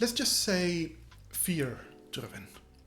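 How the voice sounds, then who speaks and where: A non-native accent over music in the background. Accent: non-native accent, trouble with double R. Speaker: game design YouTuber. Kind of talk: scripted tutorial. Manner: casual, conversational.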